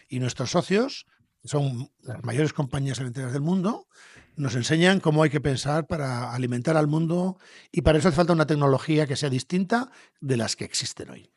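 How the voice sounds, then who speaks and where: Somewhat breathy and fairly high-pitched, a man talks at a fairly quick pace with ordinary pitch variation. The sound is dry and close, with no echo. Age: 60s. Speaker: entrepreneur, company founder. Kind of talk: podcast interview.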